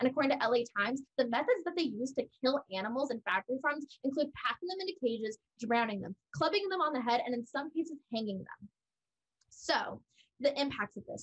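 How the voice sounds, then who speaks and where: In a quiet background, a woman with an American accent speaks at a fairly quick pace, her high pitch carried by lively intonation. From California. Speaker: college debater. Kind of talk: competitive debate. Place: home room. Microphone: webcam.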